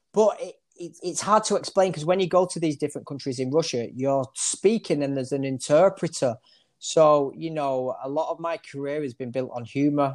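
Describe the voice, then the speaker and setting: A man's fairly high voice in a Manchester accent, at a moderate pace with ordinary pitch variation, on a very clean recording over a silent background. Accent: Mancunian, northern English. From Manchester area, northern England. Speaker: barber. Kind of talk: casual interview.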